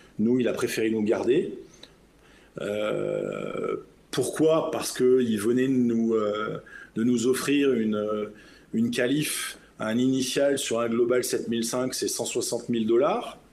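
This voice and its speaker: The pace is very slow. Audible room echo can be heard. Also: man. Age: 50s. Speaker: business jet captain. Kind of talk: interview.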